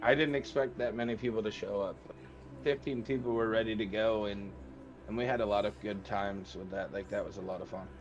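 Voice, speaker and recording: A man in a Michigan accent talks at a fairly quick pace, fairly low in pitch, with ordinary pitch variation. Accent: Midwestern American (Michigan). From Michigan, Flint area. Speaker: streamer. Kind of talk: casual chat. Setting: live-streamed podcast.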